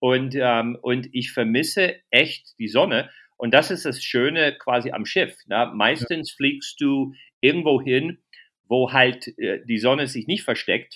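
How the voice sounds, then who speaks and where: A bright, sharp voice with an English accent speaks very slowly, with ordinary pitch variation. The recording is very clean, with a silent background. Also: man, medium pitch for a man. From USA. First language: English (speaking German). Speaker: comedian. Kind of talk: casual interview.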